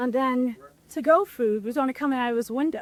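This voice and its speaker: Loud and high-pitched, a woman speaks with an American accent and lively intonation. The sound is dry and close with no echo. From New York City, the Bronx. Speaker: restaurant owner. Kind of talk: casual chat, kitchen tour. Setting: restaurant kitchen.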